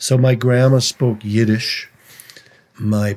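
The man has an American accent. He speaks in a monotone, flat way. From Minnesota, St. Louis Park. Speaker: singer-songwriter. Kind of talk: interview conversation.

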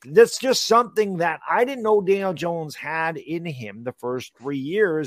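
Using a normal speaking voice, a man talks at a moderate pace in a fairly high pitch with lively intonation. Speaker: sports podcast co-host, entertainer. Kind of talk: casual sports talk show. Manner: casual, blunt.

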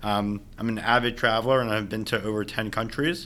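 With an American accent, a man speaks at a medium pitch with ordinary pitch variation in an unremarkable speaking voice. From New York City, Staten Island. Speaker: marketing manager. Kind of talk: podcast interview.

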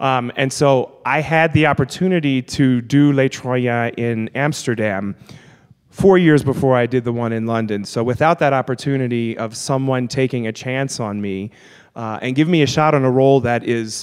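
In an American accent, a man with a plain, everyday voice talks at a moderate pace, with a medium pitch and ordinary pitch variation. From US South, New Orleans. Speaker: opera singer. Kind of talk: live panel discussion. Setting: church with live audience.

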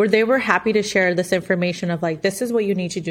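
A woman with a Spanish accent, medium in pitch, at a very fast pace. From Mexico. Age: 30s. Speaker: accountant and real estate investor. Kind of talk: podcast interview.

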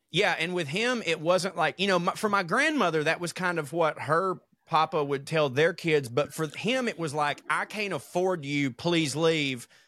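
A man's bright, sharp, high-pitched voice at a moderate pace, with ordinary pitch variation. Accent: Southern US. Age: 30s. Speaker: podcast co-host. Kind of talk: casual chat.

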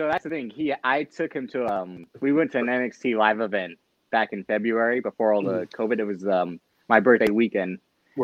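Speaking at a fairly quick pace, a man with an American accent and an ordinary speaking voice keeps a medium pitch with ordinary pitch variation. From California. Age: 20s. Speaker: wrestling stats contributor. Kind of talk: casual chat.

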